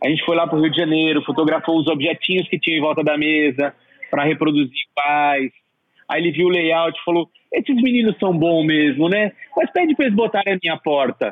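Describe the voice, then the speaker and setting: A man with a plain, everyday voice talks at a fairly quick pace in a fairly high pitch with ordinary pitch variation. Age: 40s. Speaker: art director and exhibition set designer. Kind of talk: interview.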